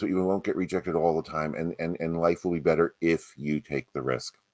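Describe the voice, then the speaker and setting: A man with vocal fry talks at a fairly quick pace, the sound dry and close with no echo. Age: 60s. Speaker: actor. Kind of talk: panel Q&A discussion.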